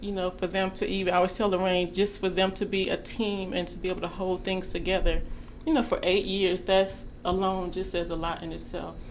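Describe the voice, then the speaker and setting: At a fairly quick pace, a woman of medium pitch talks in an ordinary speaking voice with fairly even intonation. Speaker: self-employed entrepreneur. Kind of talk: casual interview.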